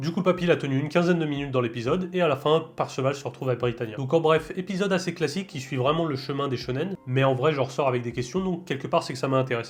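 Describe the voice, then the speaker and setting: One man speaks at a very fast pace with ordinary pitch variation. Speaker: anime reviewer. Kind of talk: casual talk to camera.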